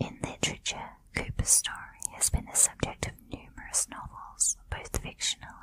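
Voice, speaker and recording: A woman whispering in a soothing tone at a fairly slow pace, with noticeable background noise. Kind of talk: ASMR whispered true crime narration. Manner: whispered, soft-spoken, soothing.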